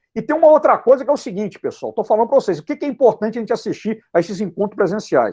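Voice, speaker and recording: A man talks with an animated tone and lively intonation. The background is quiet. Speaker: physics teacher. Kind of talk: lecture. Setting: online live class. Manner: fast.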